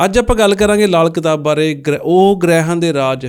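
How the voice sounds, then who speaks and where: The speaker has a Punjabi accent and ordinary pitch variation. The recording is very clean, with a silent background. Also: man. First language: Punjabi (speaking Hindi). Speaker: podcast host. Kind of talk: interview.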